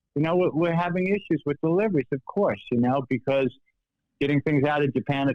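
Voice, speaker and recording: The speaker, a man, talks at a fairly quick pace. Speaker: embroidery machine sales rep. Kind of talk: casual podcast interview. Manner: loud; talkative, energetic.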